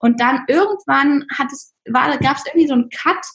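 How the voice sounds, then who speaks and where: Using a high pitch with ordinary variation, a woman talks at a moderate pace. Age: 20s. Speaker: app founder. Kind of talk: interview.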